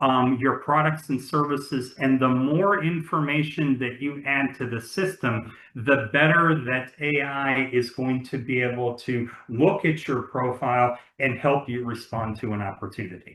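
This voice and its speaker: A man's unremarkable speaking voice at medium pitch, fairly slow in pace with hardly any pauses and ordinary pitch variation. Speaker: webinar panelist presenting software platform. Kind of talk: webinar presentation. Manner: many fillers and repetitions.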